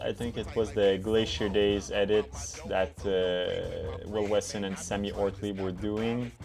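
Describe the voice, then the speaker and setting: A man with a French accent at a fairly low pitch, ordinary pitch variation and a fairly slow pace, with music in the background. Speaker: ski content creator. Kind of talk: casual reaction commentary. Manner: animated.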